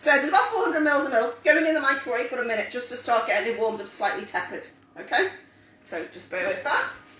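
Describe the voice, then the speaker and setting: A woman talks at a very fast pace and a high pitch with lively intonation and big swings in loudness. Noticeable background noise and audible room echo surround her. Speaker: home cook teaching a cook-along. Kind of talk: live cooking tutorial.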